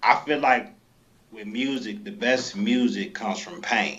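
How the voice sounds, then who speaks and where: A man talks with an American accent and lively intonation. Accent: sounds country, Chicago. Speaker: rapper. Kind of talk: interview.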